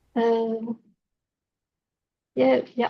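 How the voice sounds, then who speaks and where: A woman speaks at a fairly slow pace in a high pitch. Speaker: metal band lead singer. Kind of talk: casual interview. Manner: halting.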